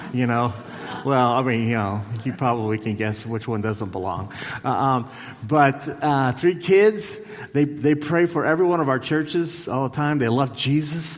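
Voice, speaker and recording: Amid noticeable background noise and audible room echo, a man talks at a moderate pace with a medium pitch and lively intonation. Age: 50s. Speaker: church superintendent. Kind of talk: church stage interview.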